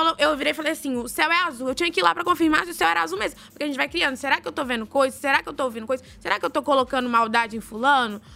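A woman speaks in a raised, projected voice at a very fast pace with hardly any pauses. Her high pitch moves with lively intonation. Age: 20s. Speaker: reality show contestant. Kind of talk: casual chat.

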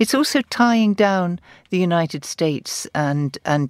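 On a very clean recording with a silent background, a woman speaks at a fairly slow pace with lively intonation, and the sound is dry and close with no echo. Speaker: journalist and commentator. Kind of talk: panel discussion. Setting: studio.

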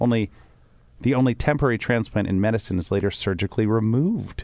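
A playful man at a fairly low pitch, very fast pace and lively intonation, on a very clean recording with a silent background. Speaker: podcast host. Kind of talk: casual chat. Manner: joking, playful.

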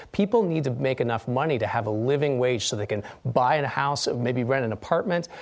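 In an ordinary speaking voice, a man talks at a fairly quick pace with hardly any pauses. His pitch is medium, with ordinary pitch variation. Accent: American. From Utah. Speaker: politician and professor. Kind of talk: political debate. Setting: studio.

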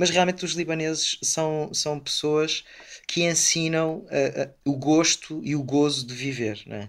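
With a normal speaking voice, the speaker goes at a fairly slow pace, keeping intonation fairly even while loudness swings widely. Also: man, fairly high pitch for a man. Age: 30s. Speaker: Jesuit priest. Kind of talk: interview.

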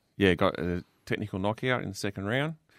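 A man with an Australian accent has a very deep, low pitch and ordinary pitch variation. He speaks at a moderate pace in a very clean recording with a silent background. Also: dry, close sound with no echo. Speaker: police officer. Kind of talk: casual radio chat. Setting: radio studio.

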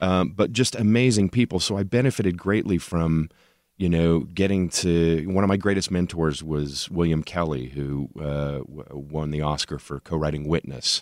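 This man has a very deep, low pitch and ordinary pitch variation. He talks at a moderate pace. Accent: American. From Oklahoma, Tulsa. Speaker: TV writer and producer. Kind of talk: casual chat.

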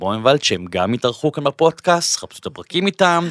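Recorded very cleanly against a silent background, with a dry, close sound and no echo, a man of medium pitch talks at a moderate pace with very wide pitch swings. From Israel, Bat Yam. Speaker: podcast host. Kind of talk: interview; scripted intro. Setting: studio.

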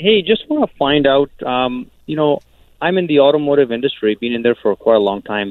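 With a normal speaking voice, a man talks at a fairly quick pace and a fairly high pitch, his intonation lively. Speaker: caller. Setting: phone call.

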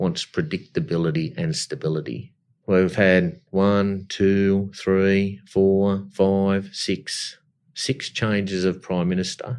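A man with an Australian accent at a very slow pace and fairly low pitch, on a very clean recording with a silent background. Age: 50s. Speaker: company chief executive. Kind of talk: interview.

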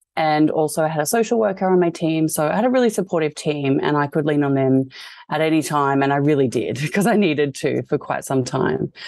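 Speaking with an Australian accent, a woman uses a very deep, low pitch and lively intonation. Her pace is fairly quick, and the background is quiet. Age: 30s. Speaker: fashion designer and cancer patient. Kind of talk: interview.

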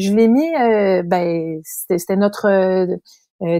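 With a Quebec accent, a woman talks at a medium pitch in a dark, mellow tone with lively intonation, on a very clean recording with a silent background and a dry, close sound with no echo. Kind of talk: casual chat.

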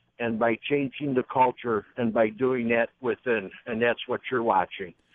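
Here is a man with an ordinary speaking voice at a medium pitch. His pace is moderate and his intonation fairly even. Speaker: caller. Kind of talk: casual chat. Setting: phone call.

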